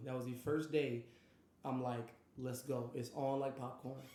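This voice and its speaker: Audible room echo surrounds a man speaking at medium pitch in an American accent. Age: 20s. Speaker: streamer and podcast host. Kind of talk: personal life story monologue. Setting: live stream. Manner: passionate.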